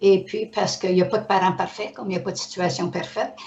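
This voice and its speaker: Noticeable background noise behind fairly quick talk with fairly even intonation. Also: woman. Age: 80s+. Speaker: author's mother, guest. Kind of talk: casual interview conversation.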